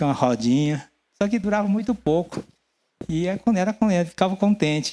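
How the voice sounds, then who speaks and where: Lively intonation and a dark, mellow tone carry this voice along at a fairly quick pace. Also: man, high pitch for a man. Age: 60s. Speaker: pastor. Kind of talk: sermon.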